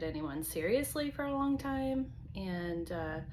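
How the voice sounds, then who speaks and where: A woman with an American accent at a fairly slow pace, very wide pitch swings, and audible room echo. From US South, North Carolina. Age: 40s. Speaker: vlogger. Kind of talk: personal video diary. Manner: hesitant, many fillers.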